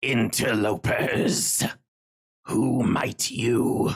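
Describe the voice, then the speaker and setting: A man puts on a raspy character voice. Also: medium pitch for a man. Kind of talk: archaic, formal. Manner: eerie, archaic, menacing.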